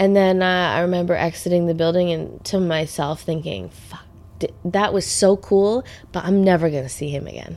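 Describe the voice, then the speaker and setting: In a normal speaking voice, a woman with a fairly low pitch talks at a moderate pace, her intonation fairly even but her loudness swinging widely. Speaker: podcast host and singer. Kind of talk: casual chat. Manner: chatty, laughs often.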